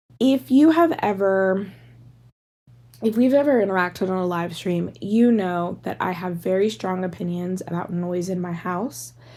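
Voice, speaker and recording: A woman with a slight Pittsburgh accent speaks at a moderate pace, her medium-pitched voice dark and mellow in tone with ordinary pitch variation. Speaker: podcast host. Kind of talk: casual monologue. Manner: animated.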